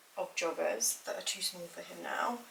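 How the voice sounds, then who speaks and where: A woman with a British accent. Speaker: lifestyle vlogger, mother. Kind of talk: casual vlog talk to camera. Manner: casual, filler-heavy.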